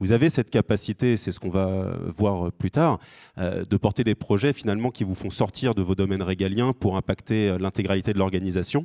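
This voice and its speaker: A man speaks fairly quickly at a fairly low pitch, his tone dark and mellow with ordinary pitch variation. The recording is very clean and dry, close with no echo and a silent background. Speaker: recruitment firm representative. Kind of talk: award ceremony speech. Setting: stage with audience. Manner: hesitant, many fillers.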